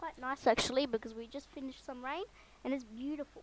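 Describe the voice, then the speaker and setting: High-pitched female speech, its pitch varying in an ordinary way. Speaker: software tutorial youtuber. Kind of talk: tutorial. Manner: hesitant, many ums. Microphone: broken mic without windscreen.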